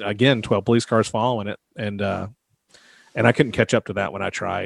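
In an unremarkable speaking voice, a man with an American accent talks at a fairly quick pace and fairly low pitch, his intonation fairly even and the sound dry and close with no echo. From US South. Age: 40s. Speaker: podcast host. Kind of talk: casual chat.

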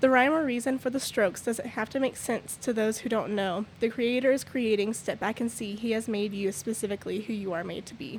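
In a West Texas accent, a woman talks at a fairly quick pace with fairly high pitch and fairly even intonation. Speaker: church member. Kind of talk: testimony. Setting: studio.

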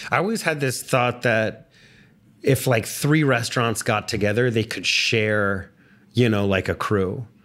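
With an American accent, a man uses an unremarkable speaking voice at a medium pitch, fairly slow pace and ordinary pitch variation. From Texas. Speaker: podcast host. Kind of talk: casual interview.

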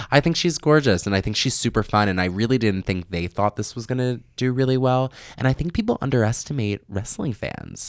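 It's a normal speaking voice from a man at medium pitch with ordinary pitch variation. He talks at a fairly quick pace. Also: hardly any pauses, dry, close sound with no echo. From New York/New Jersey. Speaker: television producer. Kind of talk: casual chat.

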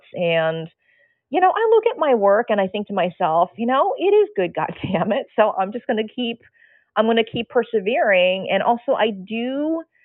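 A woman speaks in an ordinary speaking voice with fairly high pitch. Her intonation is lively and her pace moderate. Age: 50s. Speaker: nude model. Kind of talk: casual chat.

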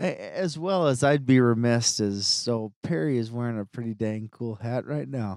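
With hardly any pauses, a man talks at a moderate pace and a medium pitch. He has a plain, everyday voice and lively intonation. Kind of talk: casual chat.

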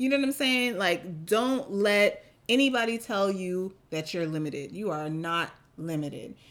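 A woman with an ordinary speaking voice, medium pitch and lively intonation at a moderate pace, on a very clean recording with a silent background. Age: 40s. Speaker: podcast co-host. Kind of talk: casual chat.

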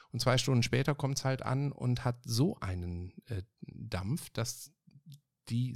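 A man speaks at a fairly slow pace in a medium-pitched, somewhat breathy voice with ordinary pitch variation, on a very clean recording with a silent background. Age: 50s. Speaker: podcast host. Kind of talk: casual chat. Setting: home office. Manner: animated.

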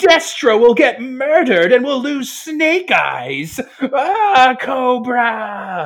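Talking at a very slow pace with hardly any pauses, a man speaks at an extremely high pitch. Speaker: tabletop roleplaying game player. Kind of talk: casual roleplaying game session with banter. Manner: animated, joking, swears casually.

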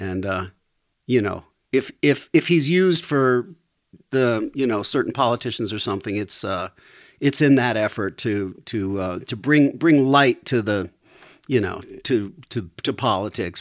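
In a plain, everyday voice, a man speaks at a fairly slow pace with lively intonation and medium pitch on a very clean recording with a silent background. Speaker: musician. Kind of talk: casual chat.

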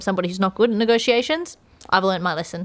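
A woman with ordinary pitch variation and an unremarkable speaking voice is heard on a very clean recording with a silent background. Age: 30s. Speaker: performance psychologist, podcast co-host. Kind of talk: casual chat.

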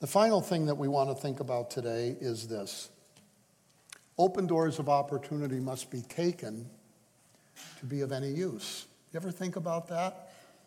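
A man with a dark, mellow tone speaks at a fairly high pitch in a somewhat breathy voice. His moderate pace carries ordinary pitch variation and long, frequent pauses. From US, Hungarian American home. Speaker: missionary. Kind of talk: sermon. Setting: church.

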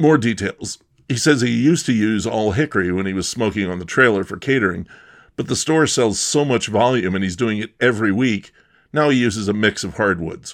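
With an unremarkable speaking voice, a man talks at a fairly quick pace in a medium pitch with lively intonation, on a very clean recording with a silent background. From Bucks County, Pennsylvania. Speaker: podcast host. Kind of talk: scripted narration.

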